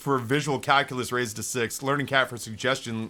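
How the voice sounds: Someone reads aloud in a natural voice, holding the intonation fairly even.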